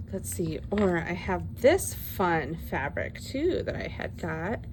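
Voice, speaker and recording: A woman is speaking. Audible room echo hangs around her voice. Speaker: craft video creator. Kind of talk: crafting tutorial. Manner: loud; animated.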